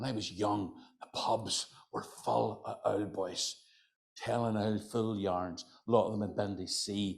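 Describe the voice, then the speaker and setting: The speaker is a man with a Northern Irish accent. He has a fairly low pitch. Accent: Northern Irish, County Antrim. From Northern Ireland, County Antrim. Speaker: folklorist and storyteller. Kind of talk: storytelling to live audience. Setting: hotel function room with audience. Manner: conversational, chatty.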